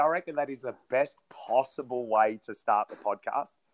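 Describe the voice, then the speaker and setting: The speaker has an Australian accent. The pace is moderate and the pitch variation ordinary. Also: man. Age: 20s. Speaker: podcast co-host. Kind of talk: casual chat.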